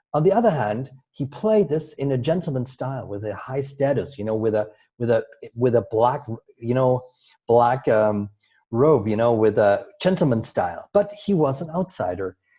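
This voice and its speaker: A man at medium pitch speaks with a dark, mellow tone and is somewhat breathy. His pace is moderate and his intonation lively. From Germany. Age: 50s. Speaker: storytelling coach. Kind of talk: interview. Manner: halting.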